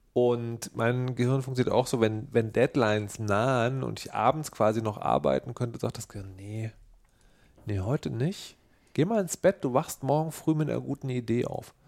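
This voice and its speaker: A man's voice, at a moderate tempo and with ordinary ups and downs in pitch, comes through on a very clean recording with no sound at all in the background. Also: medium pitch for a man. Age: 40s. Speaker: podcast co-host. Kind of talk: casual chat. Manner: animated.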